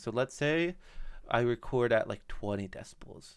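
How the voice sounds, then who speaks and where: The recording is very clean against a silent background. A man talks at a moderate pace in a medium pitch. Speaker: podcast editor and host. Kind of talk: screen-share tutorial. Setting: screen recording. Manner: loud; casual, some false starts.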